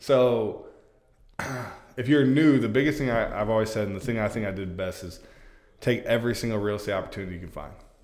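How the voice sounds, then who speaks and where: Speaking at a very fast pace with long, frequent pauses, the voice shows big swings in loudness and ordinary pitch variation, with audible room echo. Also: man, medium pitch for a man. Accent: American. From Florida, Polk County. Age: 30s. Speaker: real estate agent. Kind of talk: casual interview. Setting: studio.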